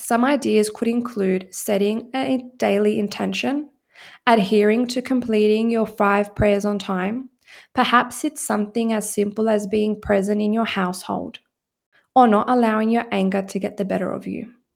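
A woman speaks at a moderate pace in an ordinary speaking voice, pitched fairly high with fairly even intonation. The recording is very clean, with a silent background. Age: 20s. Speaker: psychotherapist and mindset coach. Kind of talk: solo podcast monologue.

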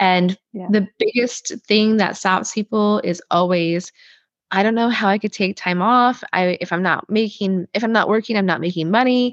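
A woman with an ordinary speaking voice talks at a moderate pace and medium pitch, her intonation fairly even, in a dry, close sound with no echo. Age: 40s. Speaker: holistic chiropractor and hypnotherapist. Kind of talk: casual interview conversation.

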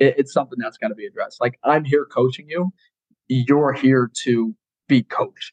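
An unremarkable speaking voice with an American accent and lively intonation at a moderate pace, dry and close with no echo. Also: man, fairly high pitch for a man. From Colorado. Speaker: college football strength coach. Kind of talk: casual chat.

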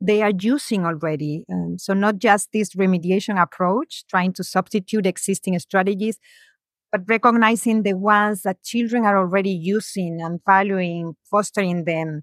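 With a Spanish accent, a woman speaks at a medium pitch with ordinary pitch variation, in a very clean recording with a silent background and a dry, close sound with no echo. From Spain. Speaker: education professor. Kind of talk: interview.

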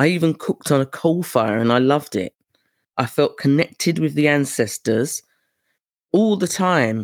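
A British accent marks the speech. The background is silent, and the recording is very clean. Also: moderate pace. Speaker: podcast host and tour organizer. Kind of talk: solo podcast monologue.

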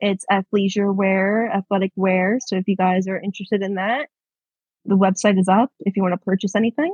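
Somewhat breathy and calm in tone, a woman with a Long Island accent talks at a fairly quick pace and a medium pitch with fairly even intonation. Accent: New York (Long Island). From New York, Long Island. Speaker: public relations professional. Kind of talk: casual chat. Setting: long-distance call. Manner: calm, collected. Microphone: glitchy connection.

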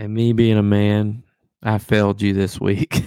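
Fairly low in pitch and fairly slow, a man speaks in a dark, mellow tone on a very clean recording with a silent background. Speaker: sports podcast co-host. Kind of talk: casual sports banter.

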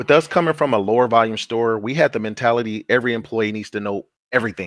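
A man at a medium pitch and a very fast pace, with ordinary pitch variation, in dry, close sound with no echo against a quiet background. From San Francisco Bay Area. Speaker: grocery store operator. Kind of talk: casual interview. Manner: animated.

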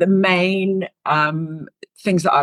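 A woman speaks with a British accent. The sound is dry and close, with no echo. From UK. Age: 50s. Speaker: leadership coach. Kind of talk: interview.

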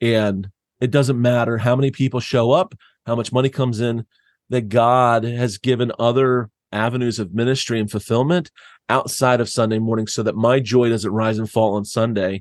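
An American man with a medium-pitched, unremarkable speaking voice talks at a moderate pace with fairly even intonation. The sound is dry and close with no echo, over a quiet background. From US Northeast (southeast Pennsylvania). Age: 40s. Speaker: church planter. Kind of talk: casual interview conversation. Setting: remote call.

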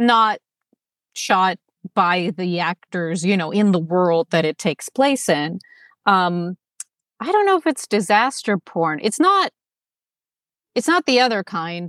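Her medium-pitched voice has lively intonation, a fairly slow pace, and long, frequent pauses. The woman's sound is dry and close with no echo. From Los Angeles, US (born in Moscow). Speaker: actor and Soviet film educator. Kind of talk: casual chat.

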